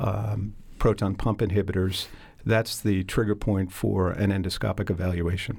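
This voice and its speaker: A man's fairly low voice, fairly slow and with fairly even intonation. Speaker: gastroenterologist. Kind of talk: expert interview explaining medical topics. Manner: halting, many filler words, formal.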